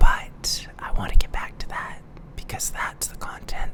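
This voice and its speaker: Over noticeable background noise, a whispering voice moves at a fairly slow pace. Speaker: ASMR youtuber. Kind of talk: ASMR whispering.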